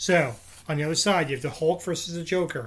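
A man at a moderate pace. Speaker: podcast host. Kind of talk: casual chat. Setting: remote recording. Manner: jokey, laughing.

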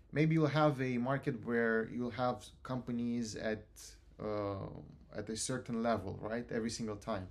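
A man with a Romanian accent speaks at a fairly slow pace. His voice sits at medium pitch with fairly even intonation. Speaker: university student, student society president. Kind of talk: casual interview chat.

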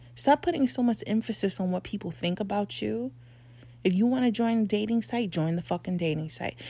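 The voice is somewhat breathy, with a dark, mellow tone and very wide pitch swings. It moves at a fairly quick pace in a very clean recording with a silent background. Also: woman, medium pitch for a woman. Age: 40s. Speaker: podcast host. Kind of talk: motivational monologue. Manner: animated.

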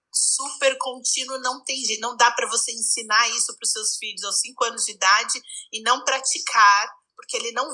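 Speaking with a São Paulo accent, a woman keeps a moderate pace. Her pitch is high. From Brazil, São Paulo. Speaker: psychologist. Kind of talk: casual chat.

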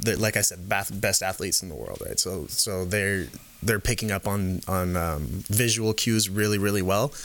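An unremarkable speaking voice from a man with an American accent, fairly low in pitch, at a moderate pace with fairly even intonation, in a very clean recording over a silent background. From California Bay Area and Canada. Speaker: performance coach, MMA background. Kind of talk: casual chat. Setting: studio.

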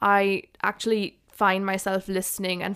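A woman with an Indian accent at medium pitch, in a very clean recording with a silent background. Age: 20s. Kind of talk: casual chat.

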